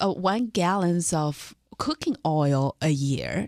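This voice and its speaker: Against a quiet background, a woman with a Chinese accent speaks at a very deep, low pitch, the sound dry and close with no echo. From northern China. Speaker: lawyer. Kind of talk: radio interview.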